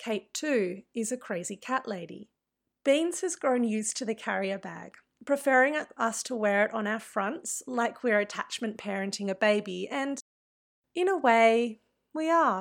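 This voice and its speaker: A woman speaks with an Australian accent and lively intonation at a fairly slow pace. The recording is very clean, with a silent background. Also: fairly high pitch for a woman. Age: 30s. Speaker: activist and writer. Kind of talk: reading aloud.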